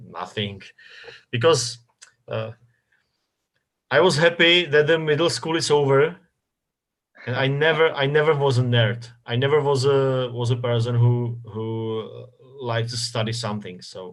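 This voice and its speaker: A man with a Czech accent speaks at a moderate pace with long, frequent pauses. His pitch is medium with ordinary variation, and the background is quiet. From Czech Republic, north Bohemia. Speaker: football club communications director. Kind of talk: interview. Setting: live stream interview. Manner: halting, many repetitions and fillers.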